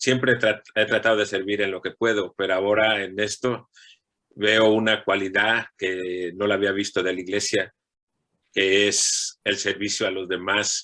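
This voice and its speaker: A man speaks slowly-ish, at a fairly slow pace, with a fairly low pitch and a bright, sharp tone. His intonation is flat and monotone on a very clean recording with a silent background. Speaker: parishioner, church volunteer. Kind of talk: testimony.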